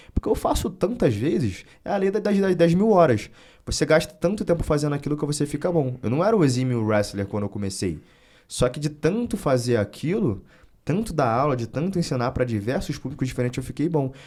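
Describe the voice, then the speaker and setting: A man's fairly high voice, dark and mellow in tone, with very wide pitch swings and a fairly quick pace. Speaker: wrestling coach and content creator. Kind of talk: interview conversation. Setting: studio. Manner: fast.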